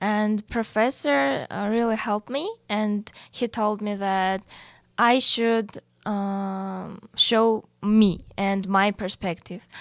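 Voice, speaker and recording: A woman with a Russian accent speaks at a very slow pace with fairly even intonation. The sound is dry and close, with no echo. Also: medium pitch for a woman, very clean recording, silent background. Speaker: university student. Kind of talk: podcast interview. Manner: halting, many fillers.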